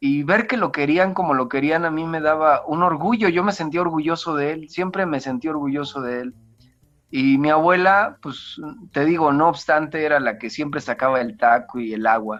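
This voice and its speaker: With music in the background, a man in a central Mexican accent speaks at a moderate pace and a fairly high pitch, with ordinary pitch variation. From central Mexico, rural State of Mexico. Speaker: church deacon. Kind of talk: interview, personal life story. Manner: halting, with many fillers and restarts.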